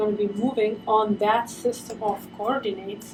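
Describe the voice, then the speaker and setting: With music playing in the background, the speaker talks at a moderate pace in a non-native accent. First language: not English. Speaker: 3D software tutorial creator. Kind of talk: tutorial.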